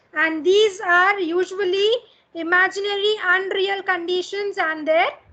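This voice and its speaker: Raised and projected, a woman's extremely high voice has a bright, sharp tone, moving at a fairly slow pace with fairly even intonation and very even loudness. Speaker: college English teacher. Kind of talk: lecture.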